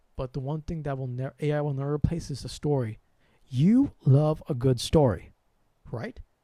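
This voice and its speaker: Heard in a very clean recording with a silent background and a dry, close sound with no echo, the voice has an American accent, a dark, mellow tone, ordinary pitch variation and a moderate pace. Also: man, fairly high pitch for a man. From US, Sri Lankan family. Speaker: spiritual channel host. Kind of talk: livestream monologue. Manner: soft with sudden loud bursts.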